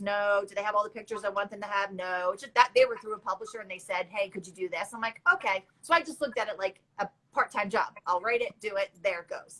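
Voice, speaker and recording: A woman talks at a fairly quick pace with a bright, sharp tone and a fairly high pitch. Her loudness swings widely, while her pitch variation is ordinary. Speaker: food blogger and cookbook author. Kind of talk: interview on a livestream. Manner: fast; chatty.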